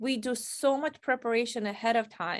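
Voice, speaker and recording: This woman speaks with a non-native accent. Her pitch sits fairly high. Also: quiet background. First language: not English. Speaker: career coach. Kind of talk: interview advice.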